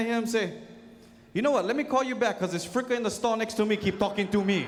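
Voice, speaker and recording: A man talks at a very fast pace in a high pitch. Audible echo from the room follows his words. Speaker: comedian and show host. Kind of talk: stand-up. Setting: stage with audience.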